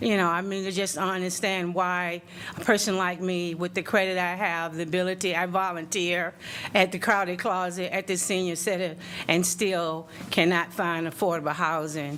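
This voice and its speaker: Someone with an American accent speaks at a moderate pace in a monotone, flat intonation, with audible room echo. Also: woman. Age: 60s. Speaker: public commenter, nursing assistant. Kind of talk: public comment at council meeting. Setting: city council meeting room. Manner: halting, many fillers.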